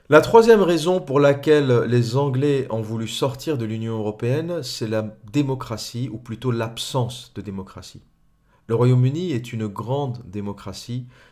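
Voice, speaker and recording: A man's normal speaking voice, medium in pitch with ordinary pitch variation, at a fairly slow pace and with big swings in loudness. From France. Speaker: political commentator. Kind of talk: monologue commentary.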